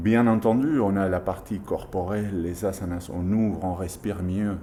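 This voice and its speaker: A man's fairly low, dark, mellow voice, fairly slow with hardly any pauses, fairly even in intonation, with audible room echo. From Argentina. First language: Spanish (speaking French). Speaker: yoga teacher. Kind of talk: interview.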